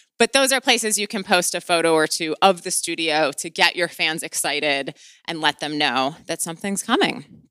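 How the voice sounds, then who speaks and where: A woman with a Midwestern US accent speaks in a bright, sharp tone. Her pitch swings very widely at a moderate pace. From US Midwest. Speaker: podcast host and author. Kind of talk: interview podcast intro and conversation.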